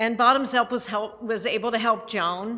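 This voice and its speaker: Audible room echo carries a woman's bright, sharp voice. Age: 60s. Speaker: charity president. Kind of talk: church service talk. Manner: halting.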